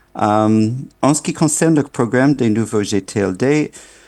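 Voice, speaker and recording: A man with a non-native accent talks at a fairly slow pace with a dark, mellow tone. His intonation is lively, and the sound is dry and close with no echo. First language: not French (speaking French). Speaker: internet governance official. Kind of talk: keynote speech. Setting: remote video link to conference. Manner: halting, many fillers.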